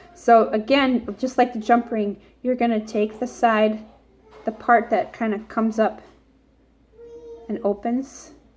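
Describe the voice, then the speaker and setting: A woman talks at a fairly slow pace in a fairly high, somewhat breathy voice, her intonation flat and monotone, with long, frequent pauses. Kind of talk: tutorial.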